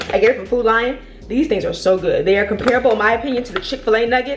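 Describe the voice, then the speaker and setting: Very fast speech in an American accent, with lively intonation. Noticeable background noise sits behind it. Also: woman. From Virginia, US. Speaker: lifestyle vlogger and real estate agent. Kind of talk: casual vlog monologue. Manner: fast-talking; rambling with many fillers and repetitions.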